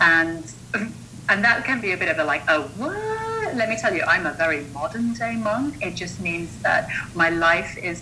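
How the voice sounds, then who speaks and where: A woman speaks at a fairly slow pace with lively intonation. Noticeable background noise and audible room echo fill the recording. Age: 40s. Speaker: mindset coach and monk. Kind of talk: interview conversation.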